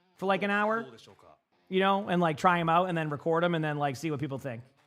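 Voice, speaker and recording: A man talks with a high pitch and a slight Boston accent. His pitch varies in an ordinary way. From Massachusetts, near Boston. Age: 30s. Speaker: streamer. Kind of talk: casual chat while co-streaming esports. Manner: casual, filler-heavy, repeats words.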